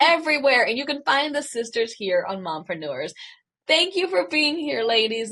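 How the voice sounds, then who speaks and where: The voice's pitch swings very widely while holding a moderate pace. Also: woman. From US South, rural southern Virginia. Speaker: podcast host. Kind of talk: interview.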